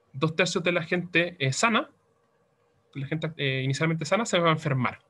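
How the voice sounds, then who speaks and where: Pitch moves in an ordinary way here. The tone comes across bright and sharp. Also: man. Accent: Chilean. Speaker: teaching assistant. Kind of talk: tutorial. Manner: fast; mumbling.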